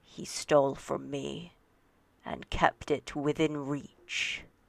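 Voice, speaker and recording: A put-on character voice at a low-to-middle pitch drags along at a very slow pace. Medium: actual play. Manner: soft, imploring.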